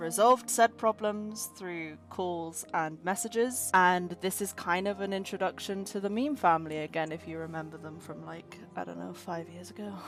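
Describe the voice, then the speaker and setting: A woman at a moderate pace with music in the background. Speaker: animator and channel owner. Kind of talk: casual chat.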